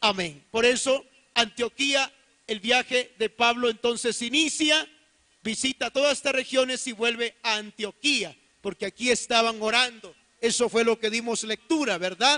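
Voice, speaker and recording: A man projects his voice at an extremely high pitch, with a bright, sharp tone, ordinary pitch variation, a fairly slow pace and a dry, close sound with no echo. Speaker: pastor. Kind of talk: sermon.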